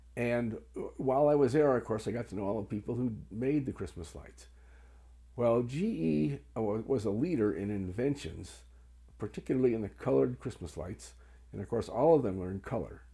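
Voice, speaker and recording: A man's fairly low, dark, mellow and somewhat breathy voice at a moderate pace, with lively intonation. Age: 70s. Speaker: Christmas historian. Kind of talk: informal explanatory talk showing items. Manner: hesitant with frequent fillers.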